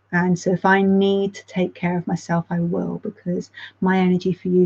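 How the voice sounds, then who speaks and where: A woman speaks at a medium pitch in a dark, mellow tone, somewhat breathy. Her intonation stays monotone and flat. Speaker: support group facilitator. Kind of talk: reading aloud. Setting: live stream. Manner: casual, halting with fillers.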